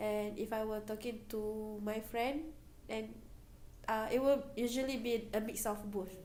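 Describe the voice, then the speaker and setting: Speaking at a fairly slow pace, a woman with a fairly high pitch keeps her intonation fairly even amid audible room echo and noticeable background noise. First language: Malay. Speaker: university student. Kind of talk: interview.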